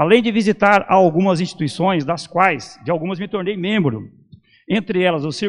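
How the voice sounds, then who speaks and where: A man with an ordinary speaking voice, against a quiet background. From Brazil, São Paulo. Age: 60s. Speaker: esoteric lecturer. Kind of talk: lecture. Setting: temple with audience. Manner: formal.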